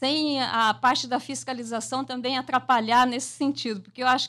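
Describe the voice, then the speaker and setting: Against a quiet background, a woman talks in a high pitch with a bright, sharp tone and fairly even intonation. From Mato Grosso do Sul, Brazil. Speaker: environmental researcher; radio interviewee. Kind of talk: radio interview. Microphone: studio mic.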